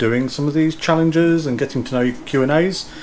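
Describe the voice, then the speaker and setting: Through noticeable background noise, a man speaks in an East Midlands accent. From English East Midlands, Derbyshire. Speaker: YouTube vlogger. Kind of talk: casual Q&A chat.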